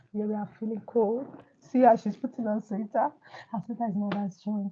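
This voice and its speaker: A woman with a Nigerian accent speaks at a fairly quick pace with a fairly high pitch. Her intonation is fairly even, and there is noticeable background noise. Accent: Nigerian Igbo English. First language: Igbo. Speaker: livestream host, teacher. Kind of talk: casual livestream chat.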